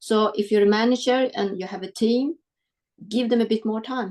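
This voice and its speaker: Fairly high-pitched woman with a Swedish accent. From Sweden (adopted from South Korea). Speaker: business executive. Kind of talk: webinar interview.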